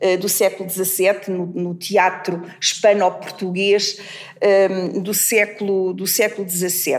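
A woman at a very slow pace, medium in pitch, over noticeable background noise. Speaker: literature professor. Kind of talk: academic discussion. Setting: university seminar room. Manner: hesitant, many fillers.

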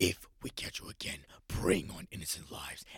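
Putting on a character voice, a man growls in a raspy, very deep, low pitch at a fairly quick pace. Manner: menacing, threatening.

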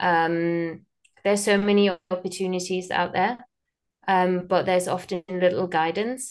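At a moderate pace, a woman speaks with monotone, flat intonation and very even loudness. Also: medium pitch for a woman. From Germany. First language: German. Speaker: theatre and film producer. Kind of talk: interview. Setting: call.

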